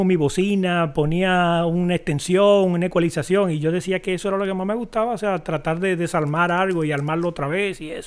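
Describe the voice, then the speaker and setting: A man talks at a very fast pace with a strong Dominican accent. His pitch is high. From Dominican Republic. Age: 50s. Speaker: video director and editor. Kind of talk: interview.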